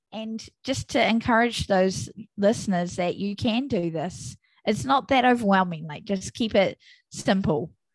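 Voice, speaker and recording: At a fairly slow pace over a quiet background, a woman with a New Zealand accent speaks at a medium pitch, somewhat breathy, with lively intonation. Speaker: podcast host and mother. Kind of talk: casual interview chat.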